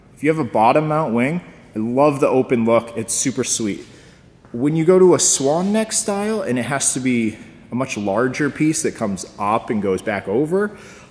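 The voice moves at a moderate pace. Its pitch swings very widely. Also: man. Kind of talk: casual vlog chat. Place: garage.

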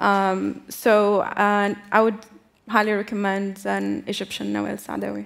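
The speaker is a woman with a medium-pitched voice. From Tunisia. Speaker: activist and diplomat. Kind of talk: panel discussion. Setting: stage with audience. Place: stage. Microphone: headset.

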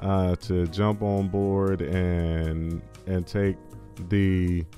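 Faint music plays in the background as a man speaks with ordinary pitch variation. The sound is dry, with no echo. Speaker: crypto and commentary channel host. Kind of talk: casual talk to camera. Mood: sarcastic, wry. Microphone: studio mic.

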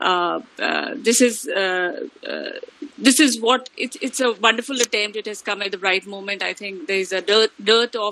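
A voice with a bright, sharp tone speaks in an Indian accent with ordinary pitch variation and a dry sound with no echo. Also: woman, fairly high pitch for a woman, moderate pace. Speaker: head of department, professor. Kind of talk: welcome address. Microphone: video call.

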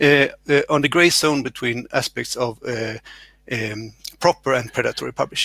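A man speaks at a moderate pace with a bright, sharp tone and ordinary pitch variation. The sound is dry with no echo, over a quiet background. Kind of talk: conference session introduction. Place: home room. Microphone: headset.

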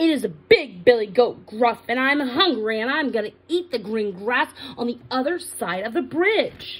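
Here is a put-on character voice with fairly high pitch. It runs on with hardly any pauses. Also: moderate pace. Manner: bold, gruff.

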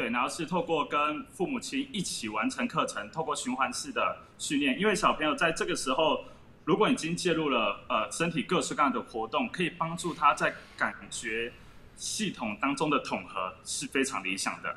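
The pitch swings very widely throughout. The pace is moderate, with light noise in the background. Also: man, high pitch for a man. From Taiwan. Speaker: former gymnast, gymnastics gym owner. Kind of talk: explanatory interview. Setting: video call. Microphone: video call.

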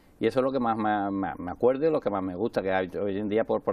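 A man talks at a very fast pace at a fairly low pitch, with ordinary pitch variation. The sound is dry, with no echo. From Andalusia, Alcalá de Guadaíra (Seville); Andalusia. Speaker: president of a local parade association; interview guest. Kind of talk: interview. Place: studio. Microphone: lapel.

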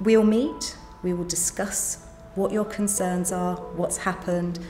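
A woman's voice with ordinary pitch variation over music in the background. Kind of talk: interview answer. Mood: calm, reassuring. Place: home room.

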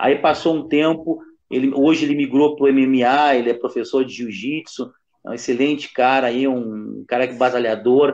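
A man at a fairly slow pace with fairly even intonation, over a quiet background. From Rio Grande do Sul. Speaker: capoeira master, co-host; co-host. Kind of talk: casual chat. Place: home room. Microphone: video call.

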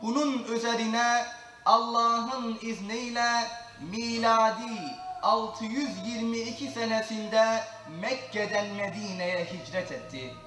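A man's raised, projected voice at an extremely high pitch, very slow pace, audible room echo and light background noise. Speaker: Qur'an reciter and mosque lecturer. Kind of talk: religious lecture (sermon) in Turkish. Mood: solemn, measured. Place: church.

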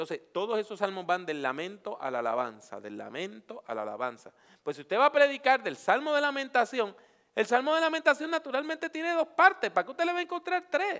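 A man's raised, projected voice at an extremely high pitch, bright and sharp, very fast, with very wide pitch swings over a quiet background. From Puerto Rico. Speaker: preacher and homiletics teacher; preacher, homiletics teacher. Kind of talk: workshop lecture. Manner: animated. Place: hall. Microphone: headset.

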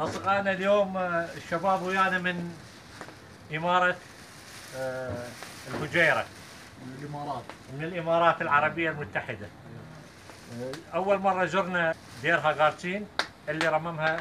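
A man speaks at a moderate pace in a high voice with ordinary pitch variation, leaving long, frequent pauses. His loudness swings widely, and there is noticeable background noise. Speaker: tour guide host. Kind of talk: casual vlog chat. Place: waterside.

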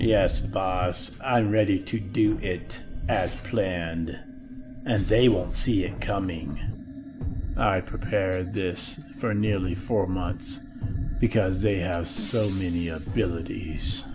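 In a cartoonish character voice, a man speaks with a very deep, low pitch. Clear music plays in the background. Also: fairly slow pace. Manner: grumbling, eager, sneaky.

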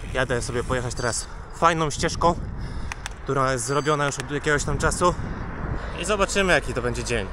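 Background noise is noticeable here. The man talks fairly quickly. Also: dry sound with no echo. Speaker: cycling vlogger. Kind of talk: casual vlog chat. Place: bicycle. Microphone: phone near.

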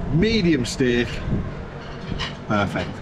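The voice belongs to a man. Background noise is noticeable throughout. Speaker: travel food vlogger. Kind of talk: casual vlog chat. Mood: enthusiastic, pleased. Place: cafe. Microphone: camera far.

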